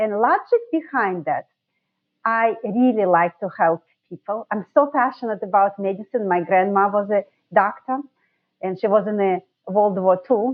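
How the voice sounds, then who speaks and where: With a Russian accent, a woman speaks at a medium pitch and a moderate pace, her pitch varying in an ordinary way. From Russia, Saint Petersburg. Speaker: dentist, sleep medicine specialist. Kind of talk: podcast interview.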